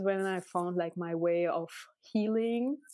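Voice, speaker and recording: The speaker has a Russian accent and a dark, mellow tone. The pace is moderate, with ordinary pitch variation. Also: woman. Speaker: tattoo artist. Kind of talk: interview. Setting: video call. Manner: animated.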